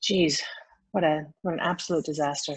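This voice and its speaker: A woman talks at a fairly quick pace in an American accent. Her intonation stays fairly even. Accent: American, slight twang. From United States. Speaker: fertility doctor. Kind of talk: interview.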